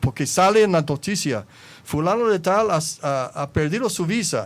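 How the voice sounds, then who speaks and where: A man with an American accent and very wide swings in pitch. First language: English (speaking Spanish). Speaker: former anti-drug agency director. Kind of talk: panel interview. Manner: halting, with self-corrections.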